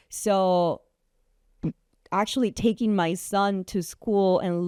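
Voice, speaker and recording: Very clean recording, silent background, with a woman in a Guatemalan accent. Her pitch is medium with ordinary variation, and her tone is dark and mellow. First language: Spanish. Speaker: entrepreneur and photographer. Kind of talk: interview.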